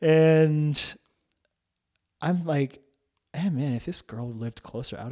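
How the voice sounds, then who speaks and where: A man speaks with an American accent. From North New Jersey. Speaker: campus pastor and former actor. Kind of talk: interview, testimony.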